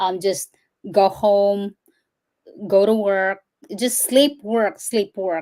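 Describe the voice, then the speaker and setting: With a Visayan Filipino accent, a woman speaks at a very slow pace and medium pitch, using ordinary pitch variation and long, frequent pauses. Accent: Filipino (Cebuano) English. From Philippines, Cebu. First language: Cebuano. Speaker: firefighter, fitness trainer and healthcare worker. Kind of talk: interview.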